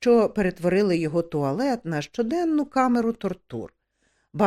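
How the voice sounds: The speaker uses a natural reading voice with lively intonation over a quiet background.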